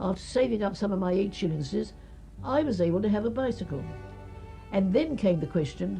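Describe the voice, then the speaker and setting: Over music in the background, a woman with a London accent speaks fairly quickly at a medium pitch, her voice swinging very widely in pitch, with long, frequent pauses. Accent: old-fashioned southern English, London. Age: 80s+. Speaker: early typist and cyclist. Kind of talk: interview answer.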